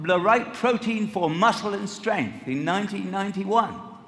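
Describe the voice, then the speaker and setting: A high-pitched man's voice at a moderate pace, with ordinary pitch variation and noticeable background noise. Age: 70s. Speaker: nutrition scientist speaking at a company event. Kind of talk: motivational talk to an audience.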